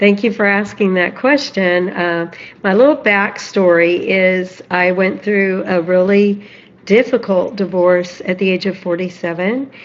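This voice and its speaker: A woman's ordinary speaking voice, medium in pitch with ordinary pitch variation, at a fairly slow pace. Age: 60s. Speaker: guest, financial and personal development coach. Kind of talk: live podcast interview, personal story.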